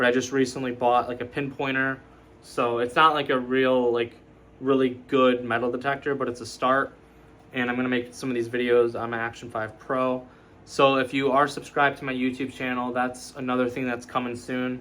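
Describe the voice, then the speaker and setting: A man's medium-pitched, monotone delivery at a fairly quick pace. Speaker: YouTube tech reviewer. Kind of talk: casual product review. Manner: halting, with false starts; casual, filler-heavy.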